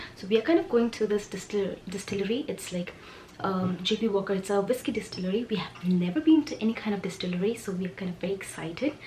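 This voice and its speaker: Over noticeable background noise, a woman talks at a very fast pace. Her pitch sits in the medium range. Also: ordinary pitch variation. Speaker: lifestyle vlogger. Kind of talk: casual vlog.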